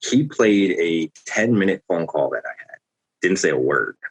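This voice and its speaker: The sound is dry and close with no echo at all. A man is talking. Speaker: car dealership salesperson.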